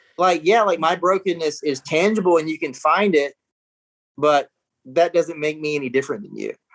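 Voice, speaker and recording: In a dry, close recording with no echo, a man with an American accent and a fairly high pitch speaks at a moderate pace with ordinary pitch variation. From US South, small-town South Carolina. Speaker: pastor, former adult film actor. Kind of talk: interview testimony. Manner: halting, many fillers and restarts.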